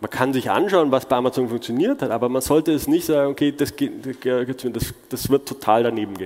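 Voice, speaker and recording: Using an unremarkable speaking voice, a man talks at a moderate pace with a fairly high pitch and ordinary pitch variation. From Germany. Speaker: conference speaker. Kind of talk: conference talk.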